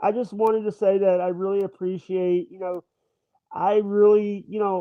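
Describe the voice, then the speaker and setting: This man has a Southern accent. His voice sits at a high pitch. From Mississippi, US South. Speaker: YouTuber, streamer. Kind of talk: casual chat. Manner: halting.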